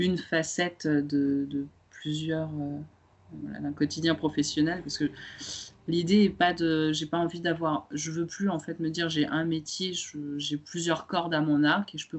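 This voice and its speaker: A woman speaks with a very deep, low pitch. Her delivery is fairly slow, with monotone, flat intonation. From France. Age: 30s. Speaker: former lawyer turned photographer and web writer. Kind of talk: casual interview. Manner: hesitant, many fillers.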